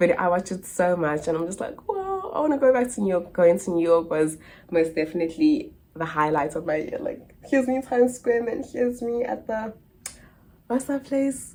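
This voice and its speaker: An animated woman with a South African accent, fairly high-pitched, at a moderate pace with very wide pitch swings over noticeable background noise. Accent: South African accent unchanged. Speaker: au pair and vlogger. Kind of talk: casual Q&A chat to camera.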